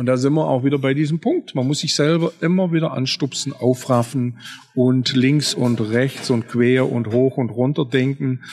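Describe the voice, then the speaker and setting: This man has an ordinary speaking voice, medium in pitch with ordinary pitch variation. He keeps a moderate pace and very even loudness. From Swabia, southern Germany. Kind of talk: interview conversation. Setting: café at a train station.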